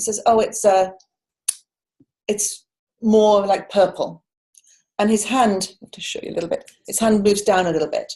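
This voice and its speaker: A woman's somewhat breathy, fairly high voice with a dark, mellow tone and big swings in loudness. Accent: British. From United Kingdom. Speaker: coach and culture change facilitator. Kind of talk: conference talk. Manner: fast; animated.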